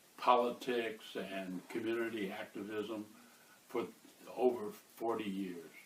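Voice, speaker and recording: Monotone, flat delivery at a fairly slow pace, with audible room echo. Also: man. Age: 70s. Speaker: author and activist. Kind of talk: interview. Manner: halting, many filler uhs.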